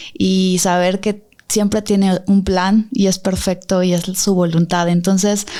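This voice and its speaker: Very slowly, a woman talks at a medium pitch in a dark, mellow tone. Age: 30s. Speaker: accident survivor. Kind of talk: testimony.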